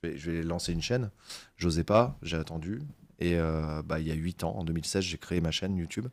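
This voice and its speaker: The speech moves at a fairly quick pace with ordinary pitch variation, on a very clean recording with a silent background. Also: man, very deep, low pitch for a man. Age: 30s. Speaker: YouTuber on aviation and space history. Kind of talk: podcast interview. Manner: hesitant, many fillers.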